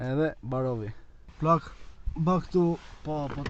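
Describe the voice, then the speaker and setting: A man talks at a fairly slow pace with an Albanian accent. His voice sits fairly high, with ordinary pitch variation. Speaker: car enthusiast vlogger. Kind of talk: casual tutorial vlog.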